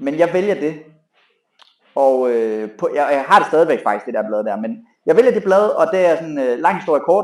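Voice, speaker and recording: A man talks with a fairly high pitch and very wide pitch swings. His loudness swings widely, with long, frequent pauses. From Jutland, Denmark (farm). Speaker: fitness trainer and gym owner. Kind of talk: casual interview chat.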